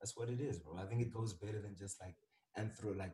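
With a dark, mellow tone, a man speaks at a fairly quick pace and fairly low pitch, somewhat breathy, with ordinary pitch variation. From South Africa. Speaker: photographer. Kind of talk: casual chat.

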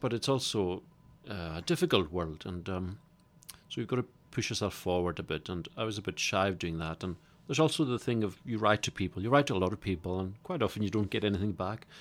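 On a very clean recording with a silent background, a man with a Hebridean accent talks at a very fast pace, his fairly low pitch showing ordinary variation. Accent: Hebridean Scottish. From Scotland, Isle of Lewis. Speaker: playwright. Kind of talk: interview.

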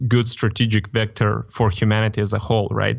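A man with a fairly low pitch speaks at a moderate pace in a monotone, flat intonation. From Moldova. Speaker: digital artist. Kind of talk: casual chat.

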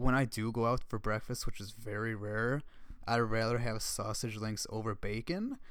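A man speaks at a medium pitch and moderate pace. His pitch varies in an ordinary way. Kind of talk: casual faith discussion.

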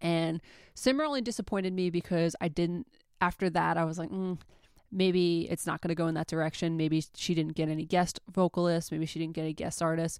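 In a very clean recording with a silent background, a woman with an American accent talks fairly quickly in an ordinary speaking voice, her fairly low pitch held to fairly even intonation. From New York. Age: 20s. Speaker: podcast host, album reviewer. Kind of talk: casual monologue, album review.

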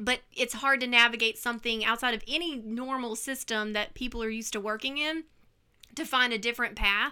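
Speaking at a fairly quick pace with a Mississippi accent, a woman uses a high pitch, a bright, sharp tone and fairly even intonation. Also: very clean recording, silent background. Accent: Southern US (Mississippi). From US Mississippi coast. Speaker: artist and former teacher. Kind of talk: casual interview.

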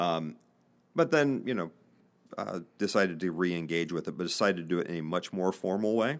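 Over a silent background in a very clean recording, a man with a Midwestern American accent speaks fairly quickly in a very deep, low pitch with lively intonation. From Northeast Indiana, US Midwest. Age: 50s. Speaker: business podcast host and investor. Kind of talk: casual interview. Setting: studio.

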